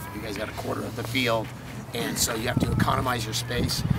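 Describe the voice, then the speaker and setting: A man speaks at a very fast pace and medium pitch. Noticeable background noise and audible room echo surround him. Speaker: soccer coaching clinic instructor. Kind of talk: coaching clinic talk to coaches.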